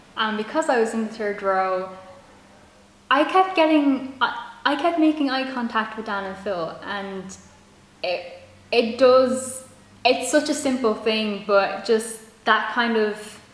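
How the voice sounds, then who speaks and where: A woman with a fairly high pitch speaks at a fairly slow pace with long, frequent pauses, over noticeable background noise. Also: lively intonation. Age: young. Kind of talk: casual talk to camera.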